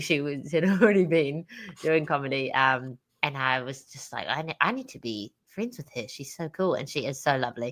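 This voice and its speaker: A woman speaks with a New Zealand accent at a moderate pace. Her pitch is very deep and low, with ordinary pitch variation and big swings in loudness. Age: young. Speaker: stand-up comedian. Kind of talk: interview answer. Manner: upbeat.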